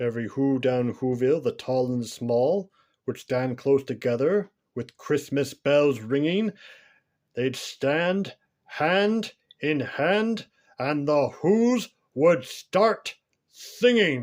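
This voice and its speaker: A man with a fairly high voice speaks at a very slow pace. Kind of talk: bedtime story. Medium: read story.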